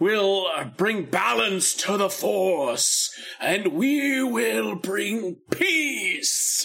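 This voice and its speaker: In a put-on character voice, a man speaks very slowly in a raised, projected voice at a high pitch. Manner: evil.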